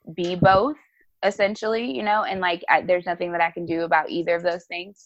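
Over music in the background, a woman with an American accent talks at a fairly quick pace, her fairly low pitch held in fairly even intonation. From New Jersey and North Carolina (East Orange, then Charlotte from age 11). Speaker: pastor. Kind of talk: casual interview. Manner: casual, filler-heavy (um, like).

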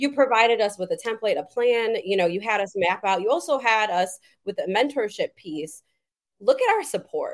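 In an American accent, a woman with an unremarkable speaking voice talks at a moderate pace, her fairly high pitch carrying lively intonation. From Madison, Wisconsin, US Midwest. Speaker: nursing professor and researcher. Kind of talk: interview.

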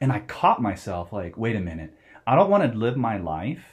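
A man's somewhat breathy, medium-pitched voice, lively in intonation, at a moderate pace over a quiet background. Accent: American. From US Southwest, Phoenix, Arizona. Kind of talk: interview.

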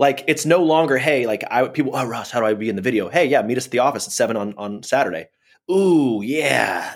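A man speaks at a medium pitch and a fairly quick pace. He has a plain, everyday voice with ordinary pitch variation. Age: 30s. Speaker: podcast host. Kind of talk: casual chat.

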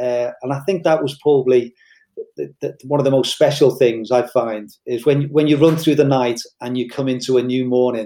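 This man's voice sits fairly high, with a dark, mellow tone. His pitch varies in an ordinary way at a moderate pace. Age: 60s. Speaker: ultrarunner and incoming podcast co-host. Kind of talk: casual interview.

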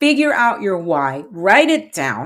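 The woman's tone is animated, her pitch medium and her pace fairly slow. The recording is very clean, with a silent background. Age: 40s. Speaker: podcast host, single mom. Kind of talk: casual monologue.

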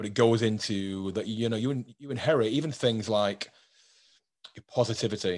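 A man with a British accent and ordinary pitch variation, against a quiet background. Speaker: podcast host. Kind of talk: casual interview chat.

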